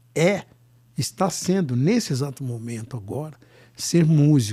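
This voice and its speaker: A man speaks at a fairly slow pace in a fairly high pitch, his voice somewhat breathy with a dark, mellow tone. His intonation is lively. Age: 70s. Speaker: singer-songwriter and musician. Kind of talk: casual interview chat.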